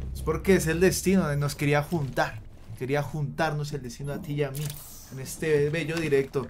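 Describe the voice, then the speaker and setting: With a Colombian accent, the speaker keeps a moderate pace and fairly even intonation over light background noise. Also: man, fairly high pitch for a man, big swings in loudness. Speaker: gaming streamer. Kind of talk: live gameplay commentary. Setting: live stream. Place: home room. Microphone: studio mic.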